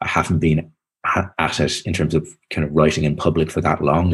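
In a Dublin accent, a man speaks at a moderate pace with a very deep, low pitch. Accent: Dublin Irish. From Ireland, Dublin. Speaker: author. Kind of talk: interview. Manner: halting.

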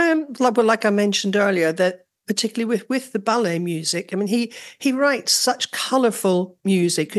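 A woman with a Northern Irish accent, medium pitch and lively intonation, at a moderate pace over a quiet background. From Northern Ireland. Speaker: orchestral trumpeter. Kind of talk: casual interview chat.

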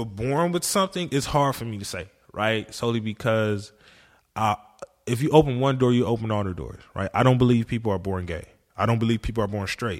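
Recorded very cleanly against a silent background, a man with a plain, everyday voice talks at a fairly quick pace, with a medium pitch and lively intonation. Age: 20s. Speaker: therapist at psych ward and rehab. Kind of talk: casual chat.

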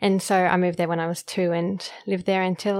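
Talking at a very fast pace, a woman with an Australian accent keeps a medium pitch and a monotone, flat intonation. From Queensland, Australia. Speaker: medical doctor. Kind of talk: interview conversation.

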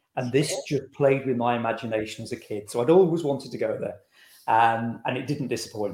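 An ordinary speaking voice from a man with an American accent, medium in pitch with ordinary pitch variation, at a fairly quick pace. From England, Lincolnshire (Boston). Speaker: author. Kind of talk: interview.

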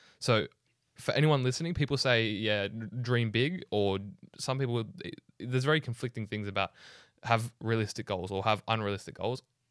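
The recording is very clean, with a silent background and a dry, close sound free of echo. A man talks at a moderate pace in a medium pitch, using a normal speaking voice with ordinary pitch variation. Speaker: podcast host. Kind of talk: casual interview chat.

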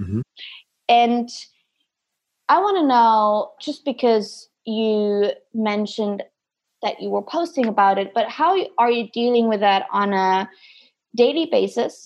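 With a German accent, a woman speaks at a very slow pace, leaving long, frequent pauses. The background is quiet. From Germany. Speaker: podcast host, performance coach. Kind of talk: casual interview. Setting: video call.

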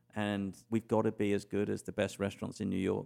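A man with an English accent talks at a fairly quick pace in a dark, mellow tone. His intonation is monotone and flat. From England. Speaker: cruise line executive. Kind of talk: interview.

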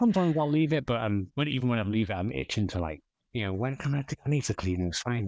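This man has an English accent and a medium pitch. He talks at a very fast pace. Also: quiet background. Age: 30s. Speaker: metal detectorist. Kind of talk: casual chat. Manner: halting.

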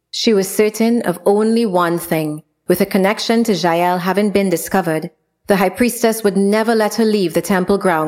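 Quiet surroundings and an unforced reading voice with ordinary pitch variation.

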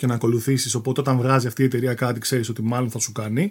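Somewhat breathy male voice at a medium pitch and fairly quick pace, on a very clean recording with a silent background. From Athens, Greece. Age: 40s. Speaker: radio producer and former poker player. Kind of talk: casual interview chat.

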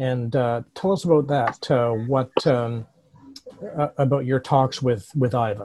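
Fairly slow speech in a dark, mellow, somewhat breathy tone. Loudness stays very even, and pitch varies in an ordinary way. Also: man, medium pitch for a man. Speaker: podcast host. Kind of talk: news-style podcast narration and interview.

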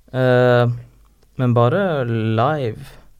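A man's voice at a medium pitch. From northern Norway, Harstad. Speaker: rapper. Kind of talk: casual chat.

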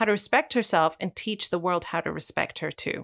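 On a very clean recording with a silent background and a dry, close sound with no echo, a woman speaks in a plain, everyday voice at a moderate pace with ordinary pitch variation. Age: 30s. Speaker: author and podcast host. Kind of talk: interview conversation.

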